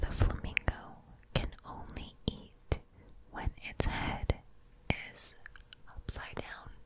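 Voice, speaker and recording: A whispering woman. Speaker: ASMR creator. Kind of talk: ASMR whisper video. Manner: whispered, soft, casual. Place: home room. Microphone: studio mic.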